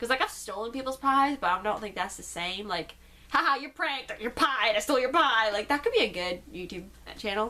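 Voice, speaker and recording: Noticeable background noise sits behind a woman who talks at a fairly quick pace, her fairly high voice lively in intonation. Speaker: YouTuber. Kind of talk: casual Q and A vlog. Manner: fast.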